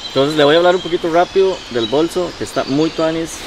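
Clear background noise runs under the recording. A man talks at a fast pace.

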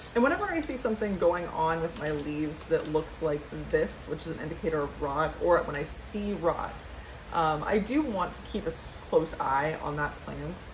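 Behind this woman's moderate pace, noticeable background noise can be heard. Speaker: plant care vlogger. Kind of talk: casual tutorial vlog chat. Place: home room. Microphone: camera far.

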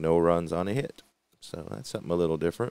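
A man speaks in a very deep, low voice. The sound is dry, with no echo. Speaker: tabletop baseball game channel host. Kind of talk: solo gameplay commentary video. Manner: relaxed, hesitant with many fillers.

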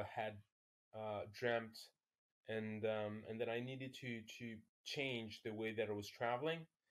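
A man speaks with a French accent. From France, Paris. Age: 40s. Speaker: ultra-distance cyclist. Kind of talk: casual chat. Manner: halting.

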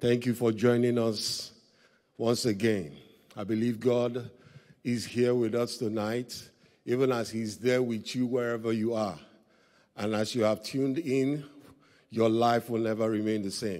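Against a quiet background, a man with a dark, mellow tone talks at a fairly slow pace with fairly even intonation and long, frequent pauses. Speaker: pastor leading service. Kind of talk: prayer. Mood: reverent, earnest. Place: church. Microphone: handheld.

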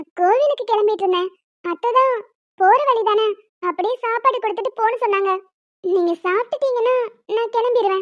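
In a cartoonish character voice, a woman speaks at an extremely high pitch and a moderate pace. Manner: lively, quick-witted.

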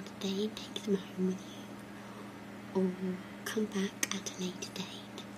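Noticeable background noise beneath speech at a fairly slow pace. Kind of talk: ASMR role play talk. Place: home room.

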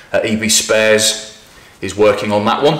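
Audible room echo surrounds a man as he talks. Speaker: presenter. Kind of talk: casual vlog chat. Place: garage.

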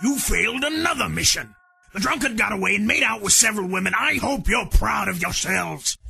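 This man has a high voice and talks at a fairly quick pace. Faint music plays in the background. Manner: clipped, authoritative, contemptuous.

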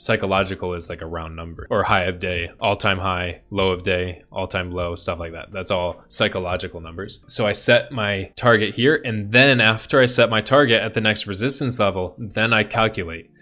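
Faint music plays behind a voice that moves at a moderate pace with hardly any pauses, ordinary pitch variation and big swings in loudness. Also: man, fairly low pitch for a man. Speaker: trading educator. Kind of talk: tutorial. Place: home room.

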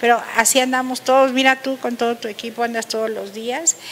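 A woman speaks at a moderate pace in a fairly high voice with fairly even intonation. Light background noise can be heard. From Mexico. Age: 60s. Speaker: lawyer and human rights defender; interview guest. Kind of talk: interview. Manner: halting. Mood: warm, grateful. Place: studio. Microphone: handheld.

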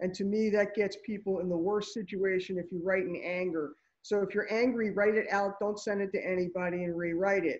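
Monotone, flat delivery with hardly any pauses, against a quiet background. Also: woman, medium pitch for a woman. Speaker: attorney. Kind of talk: panel discussion. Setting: video call. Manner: fast. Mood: advisory, earnest. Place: office. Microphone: video call.

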